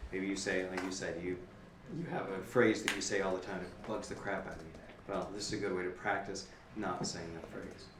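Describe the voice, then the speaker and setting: Amid noticeable background noise and audible room echo, a man with a resonant, very deep, low voice speaks at a fairly quick pace with fairly even intonation. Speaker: podcaster. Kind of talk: panel discussion.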